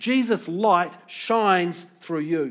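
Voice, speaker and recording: A man speaks in a New Zealand accent. His pitch is high. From New Zealand (Pukekohe, Auckland). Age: 50s. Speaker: pastor. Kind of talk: sermon.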